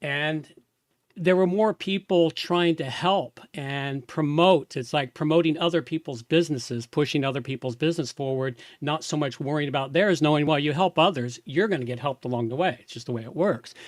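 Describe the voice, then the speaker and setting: In an unremarkable speaking voice, a man talks at a fairly quick pace with fairly high pitch, ordinary pitch variation and big swings in loudness, on a very clean recording with a silent background and a dry, close sound with no echo. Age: 60s. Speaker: podcast host. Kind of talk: interview. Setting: live video stream.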